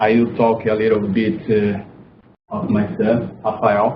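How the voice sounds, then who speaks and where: With a non-native accent, a man talks at a medium pitch and a very slow pace. His intonation is monotone and flat, with audible room echo. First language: not English. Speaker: parent of child with epilepsy. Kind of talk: public speech. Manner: halting.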